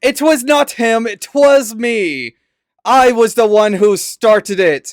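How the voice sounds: A man's put-on character voice, extremely high in pitch, raised and projected, at a fairly slow pace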